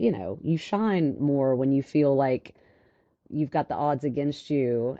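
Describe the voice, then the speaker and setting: Here is a woman's voice. She has a Louisiana accent. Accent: Southern (Louisiana) country. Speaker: financial advisor. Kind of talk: interview.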